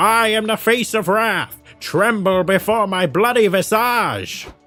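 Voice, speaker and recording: A man uses a put-on character voice that is high, shrill and theatrical, delivered at a fairly slow pace with fairly even intonation. His loudness stays very even while faint music plays in the background. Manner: screeching, theatrical.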